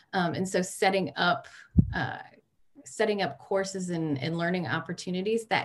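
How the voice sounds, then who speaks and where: This woman's voice sits fairly low in pitch. She talks at a moderate pace. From Michigan, Detroit suburbs. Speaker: social work educator. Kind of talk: interview.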